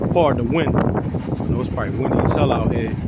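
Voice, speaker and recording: Loud background noise runs under the voice, and the sound is dry with no echo. The pace is moderate. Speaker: car owner vlogger. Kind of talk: casual vlog chat. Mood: relaxed, pleased. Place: street. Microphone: phone near.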